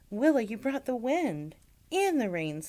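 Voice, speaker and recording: A female-sounding, high-pitched put-on character voice at a moderate pace, with very wide pitch swings. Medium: read story.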